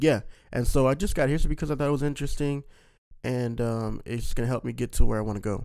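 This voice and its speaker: A man with a dark, mellow tone and an American accent, at a very fast pace. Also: medium pitch for a man, ordinary pitch variation. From Missouri. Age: 20s. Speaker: podcast co-host, church young adult coordinator. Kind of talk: casual chat.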